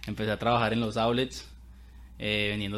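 In a fairly low pitch, a man talks with monotone, flat intonation. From Colombia (Bogotá). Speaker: podcast host, entrepreneur. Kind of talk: casual chat.

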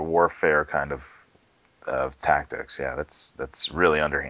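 A man speaks at a fairly slow pace. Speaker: tech podcast co-host. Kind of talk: casual chat. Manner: halting.

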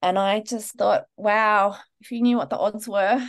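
A woman with an Australian accent, fairly high pitch, fairly even intonation and a fairly slow pace. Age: 40s. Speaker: Chinese medicine practitioner and acupuncturist. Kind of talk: interview.

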